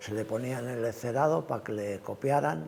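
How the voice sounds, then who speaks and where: Amid noticeable background noise, a man talks at a moderate pace in a fairly low voice with very wide pitch swings. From Cantabria, Spain (Valle de Villaverde). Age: 80s+. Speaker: retired truck driver and livestock farmer. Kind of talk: oral history interview answer.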